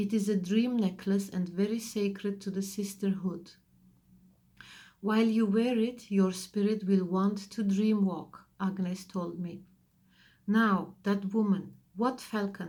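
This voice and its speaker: A woman's medium-pitched, dark and mellow voice, somewhat breathy, with monotone, flat intonation at a fairly slow pace. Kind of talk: audiobook reading.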